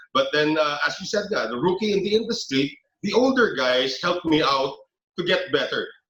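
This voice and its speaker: Music plays behind a man with a Filipino accent whose pitch is high for a man. He talks at a fairly quick pace with very wide pitch swings. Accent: Filipino English, code-switching with Tagalog. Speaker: veteran sports broadcaster. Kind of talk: podcast interview.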